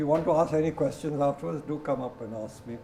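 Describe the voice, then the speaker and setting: Audible room echo follows a man who talks at a very fast pace. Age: 80s+. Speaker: guest speaker, plant expert and author. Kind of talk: lecture; audience Q&A.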